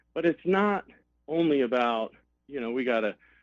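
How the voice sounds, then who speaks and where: An ordinary speaking voice with an American accent moves at a moderate pace. The intonation is lively, and the sound is dry and close with no echo. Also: man. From Arizona and Colorado, US. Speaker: political candidate. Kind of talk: radio interview.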